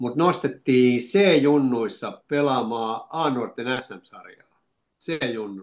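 This man's mid-range voice moves very slowly, its pitch varying in a normal way. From Finland, Lahti (moved from Oulu at seven). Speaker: retired football coach and teacher. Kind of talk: interview, reminiscing. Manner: halting, many fillers.

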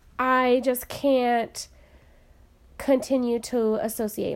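In an American accent, a woman with a high voice speaks at a very slow pace on a very clean recording with a silent background. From US, small town. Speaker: podcast co-host. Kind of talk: casual chat.

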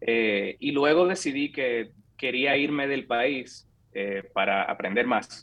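The man talks very slowly. His voice holds a medium pitch. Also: ordinary pitch variation. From Dominican Republic, San Francisco de Macorís. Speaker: software engineer. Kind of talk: interview conversation.

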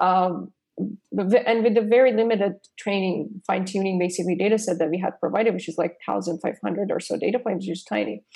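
A woman at medium pitch with ordinary pitch variation, vocal fry and a dark, mellow tone, speaking at a moderate pace in a Persian accent. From Iran. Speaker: AI startup co-founder and researcher. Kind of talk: interview.

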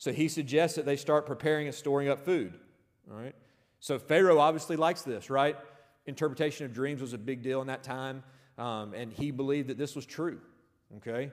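Over a very clean recording with a silent background, a man speaks in a plain, everyday voice at a fairly high pitch and a fairly quick pace. His pitch variation is ordinary, but his loudness swings widely. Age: 30s. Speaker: football coach and chapel speaker. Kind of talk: sermon.

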